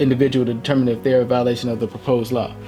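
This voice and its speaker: Music plays in the background as a man talks at a medium pitch with fairly even intonation. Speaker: political commentary youtuber. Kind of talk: casual commentary, partly reading aloud. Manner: fast.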